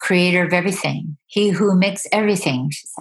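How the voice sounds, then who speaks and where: A woman's somewhat breathy voice at medium pitch, with ordinary pitch variation. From Yukon, Canada (First Nation village). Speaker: storyteller and artist. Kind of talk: interview. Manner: hesitant, with fillers.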